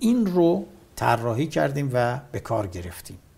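This man's voice is somewhat breathy, and his pitch swings very widely. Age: 60s. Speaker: war veteran. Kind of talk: interview.

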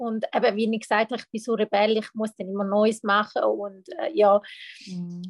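A woman speaks at a moderate pace in a fairly high pitch. Her intonation is fairly even, though her loudness swings widely. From Switzerland, Thurgau (Lake Constance). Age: 30s. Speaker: mental coach. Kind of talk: personal testimony in interview. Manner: halting, many fillers.

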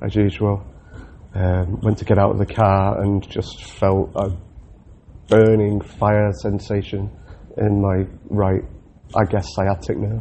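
Speaking in a Mancunian accent, a man keeps his intonation fairly even. His pace is very slow. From Manchester, England. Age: 30s. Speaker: RAF loadmaster recovering from surgery. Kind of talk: personal audio diary. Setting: hospital room. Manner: halting.

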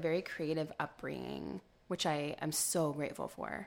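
A woman speaks at a moderate pace. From Central California, Modesto. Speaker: lifestyle blogger. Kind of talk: casual interview. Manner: hesitant fillers.

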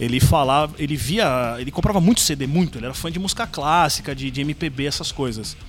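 A man with a fairly high voice talks at a fairly quick pace. There is noticeable background noise behind him. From São Paulo, east zone (Penha). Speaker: YouTuber and video editor. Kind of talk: casual chat. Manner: halting, repeats words.

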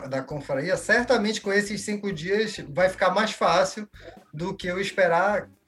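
This man's pitch is high, and it varies in an ordinary way. Noticeable background noise is present. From Belém, Pará, northern Brazil. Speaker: labour judge, wine enthusiast. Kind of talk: casual chat.

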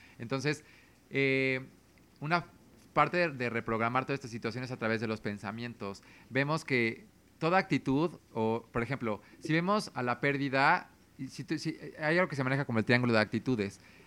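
A man speaks at a medium pitch and moderate pace with ordinary pitch variation. The tone is bright and sharp, and the recording is very clean with a silent background. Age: 30s. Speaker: consultant and communicator. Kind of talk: casual chat.

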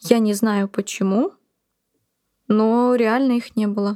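Recorded very cleanly with a silent background and a dry, close sound with no echo, a woman uses a normal speaking voice at a fairly high pitch with fairly even intonation. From Buryatia, Russia. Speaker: blogger, mother living with HIV. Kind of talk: personal testimony interview.

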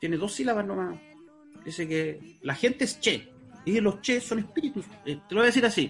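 With music in the background, a man speaks in a high pitch at a moderate pace, his intonation lively. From Chile, Talcahuano. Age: 40s. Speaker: researcher of Mapuche culture, fisheries engineer. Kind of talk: interview.

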